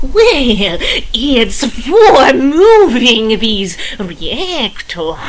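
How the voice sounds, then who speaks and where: A female-sounding voice does a put-on character voice, high-pitched with very wide pitch swings. She speaks very slowly over clear background noise. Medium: audio drama. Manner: offhand.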